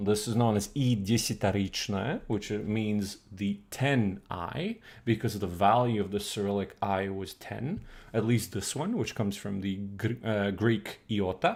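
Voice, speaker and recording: With a Croatian accent, a man talks at a fairly slow pace and fairly low pitch in a very clean recording with a silent background. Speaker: streamer teaching old Russian. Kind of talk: live stream lecture. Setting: live stream. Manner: hesitant, many fillers.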